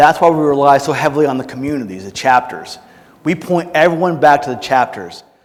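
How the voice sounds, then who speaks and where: A loud man speaks with an energetic tone at a fairly quick pace. His fairly high voice shows ordinary pitch variation. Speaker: conference speaker, military veteran. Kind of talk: Q&A at conference session. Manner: casual, energetic.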